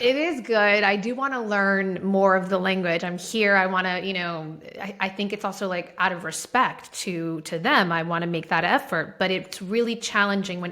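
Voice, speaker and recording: A woman speaks at a moderate pace with a Spanish accent, her pitch medium and its variation ordinary. She hardly pauses, and there is noticeable background noise. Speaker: marketing executive and entrepreneur. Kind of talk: interview conversation. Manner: animated.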